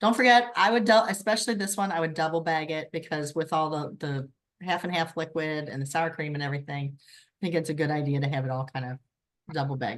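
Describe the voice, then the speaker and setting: A woman talks at a very fast pace with a very deep, low pitch. Her intonation is lively, and her loudness swings a lot. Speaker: direct sales consultant leading a cooking workshop. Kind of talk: online workshop instruction.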